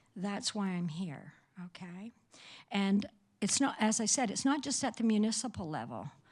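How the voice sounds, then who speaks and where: A woman with a medium pitch and a somewhat breathy voice speaks at a moderate pace with lively intonation on a very clean recording with a silent background. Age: 70s. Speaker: public delegate at council meeting. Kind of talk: public comment speech.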